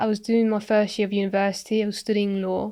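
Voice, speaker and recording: This is a woman speaking. She talks in a West Midlands accent. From England, Coventry. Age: 20s. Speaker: property investor. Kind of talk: podcast interview. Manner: halting.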